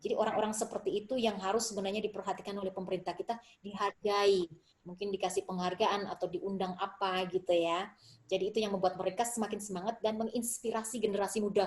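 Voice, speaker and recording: Over noticeable background noise, a woman rushes along at a very fast pace and medium pitch, her intonation monotone and flat. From Indonesia. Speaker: Indonesian diaspora writer and dancer. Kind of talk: interview conversation.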